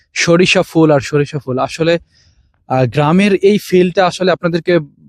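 An ordinary speaking voice with fairly even intonation and a dry, close sound with no echo. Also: man. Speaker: vlogger. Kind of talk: vlog walking tour. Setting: outdoors in a mustard field.

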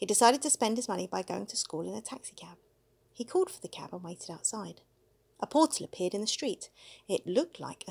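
Reading aloud, plain

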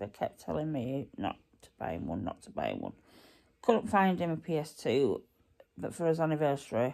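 A woman speaks with a very deep, low pitch and a dark, mellow tone. Her intonation is lively, and the background is quiet. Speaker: vlogger. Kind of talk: casual vlog chat. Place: home room. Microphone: phone near.

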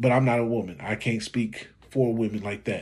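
A man speaks at a moderate pace against a quiet background. His tone is dark and mellow, and somewhat breathy. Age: 40s. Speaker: YouTube commentator. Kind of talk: reaction video commentary. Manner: casual, conversational. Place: home room. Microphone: phone near.

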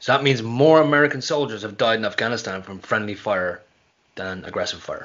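With an Irish accent, a man speaks with big swings in loudness. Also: ordinary pitch variation, fairly quick pace. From Ireland. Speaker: pro wrestler; podcast guest. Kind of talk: casual chat. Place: home room.

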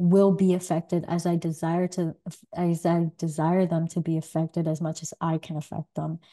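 Over a quiet background, a woman speaks at a moderate pace in a fairly low pitch, with a dark, mellow tone and monotone, flat intonation. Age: 30s. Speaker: podcast host. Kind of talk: solo monologue. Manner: hesitant, many fillers. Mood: thoughtful, calm. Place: home room.

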